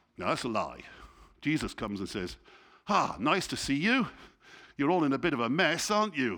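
A man's fairly high, bright, sharp voice with vocal fry and an English accent, fairly quick in pace, with very wide pitch swings and long, frequent pauses. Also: very clean recording, silent background. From England. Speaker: church leader, guest preacher. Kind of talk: sermon. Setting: church.

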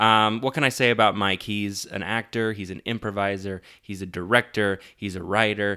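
A man with an American accent talks at a moderate pace in a fairly low pitch, his tone bright and sharp. The recording is very clean, with a silent background. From US West (Lafayette, Colorado). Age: 30s. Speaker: podcast host, actor. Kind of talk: casual chat.

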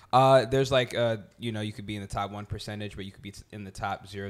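A man with an American accent speaks at a very fast pace in a fairly low pitch. The recording is very clean, with a silent background. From New Jersey. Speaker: rapper. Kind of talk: casual chat.

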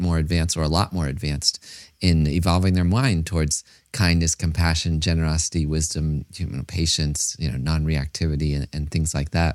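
Against a silent background in a very clean recording, a man with a very deep, low voice talks at a fairly quick pace. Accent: American. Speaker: podcast host, meditation teacher. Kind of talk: casual interview.

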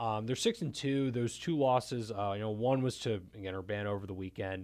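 In a plain, everyday voice, a man speaks at a fairly quick pace on a very clean recording with a silent background. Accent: American. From Maryland, Montgomery County. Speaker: sports writer. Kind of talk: casual discussion.

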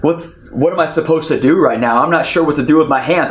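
An energetic man with a fairly high voice, ordinary pitch variation and noticeable background noise. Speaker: pastor. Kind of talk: sermon, preacher in full flow, urging the congregation to cheer. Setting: online church service, audience at home. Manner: animated, call-and-response, exhorting the audience; loud, energetic, fervent and punchy.

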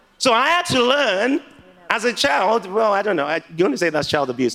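A man's raised, projected voice with very wide pitch swings over noticeable background noise. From Nigeria. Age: 30s. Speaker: preacher. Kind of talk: sermon. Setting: church with congregation.

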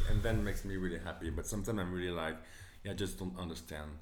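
A man with a French accent. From France. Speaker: magazine co-founder and designer. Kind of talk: casual interview chat.

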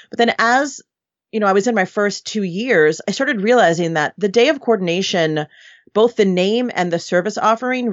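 A woman with an ordinary speaking voice talks at a medium pitch and a fairly quick pace. Her intonation is lively. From New York City. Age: 40s. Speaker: wedding planner. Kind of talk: casual interview chat.

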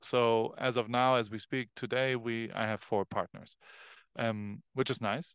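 A man with a German accent speaks at a fairly slow pace in a monotone, flat delivery, the sound dry and close with no echo against a quiet background. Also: medium pitch for a man. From Germany, Heidelberg. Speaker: photographer. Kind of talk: casual chat.

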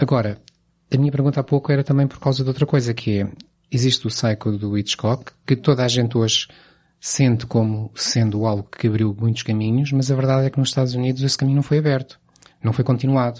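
Somewhat breathy and delivered at a very fast pace, this voice keeps a fairly even intonation over a quiet background. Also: man, medium pitch for a man. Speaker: film podcast host. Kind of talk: casual chat.

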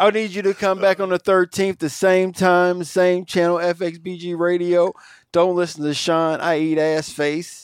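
A high-pitched male voice in a monotone, flat delivery at a moderate pace, very cleanly recorded against a silent background. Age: 40s. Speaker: radio show host. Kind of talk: casual chat. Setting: radio studio.

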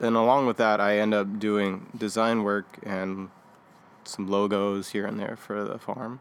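At a fairly slow pace, a man speaks in a monotone, flat intonation. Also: fairly low pitch for a man. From California, Bay Area. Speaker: farmhand. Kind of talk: casual interview.

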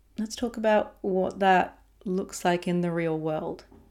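A woman's fairly low voice comes through in a very clean recording over a silent background. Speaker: podcast host, embodiment and rest teacher. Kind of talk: solo podcast monologue. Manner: intentionally slowed speech.

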